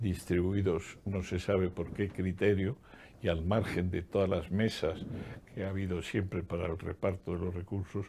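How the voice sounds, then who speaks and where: A man's very deep, low voice, dark and mellow, in a flat monotone at a fairly slow pace. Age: 80s+. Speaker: economist and former public official. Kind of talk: interview.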